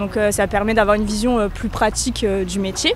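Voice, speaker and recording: A woman speaks at a very fast pace with a fairly high pitch and fairly even intonation while music plays in the background. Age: 20s. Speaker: law student. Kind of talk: interview. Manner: halting, many fillers.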